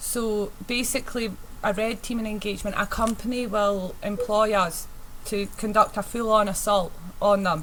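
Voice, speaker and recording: Delivered in a strong Scottish accent at a moderate pace. The intonation is monotone and flat. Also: woman. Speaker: penetration tester presenting a workshop. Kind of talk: technical presentation. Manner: hesitant, many fillers.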